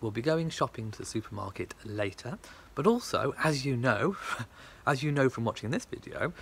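A somewhat breathy man with lively intonation. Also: moderate pace. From England. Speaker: vlogger. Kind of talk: casual vlog talk to camera. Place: garden. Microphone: phone near.

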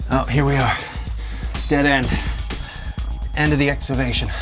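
A man speaks at a fairly quick pace. Clear music plays in the background. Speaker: travel show host. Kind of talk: commentary. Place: tunnel cave.

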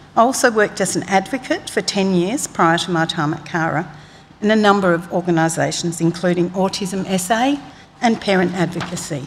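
With an Australian accent, a woman speaks at medium pitch with ordinary pitch variation over light background noise. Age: 60s. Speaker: public witness. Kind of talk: reading aloud a witness statement. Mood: calm, composed, formal. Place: hall. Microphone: podium.

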